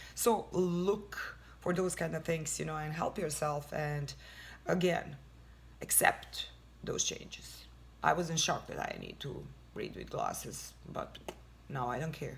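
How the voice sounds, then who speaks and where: A woman speaks at a fairly slow pace, with long, frequent pauses. Audible room echo surrounds her voice. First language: not English. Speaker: lifestyle vlogger. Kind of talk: casual advice talk. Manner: halting.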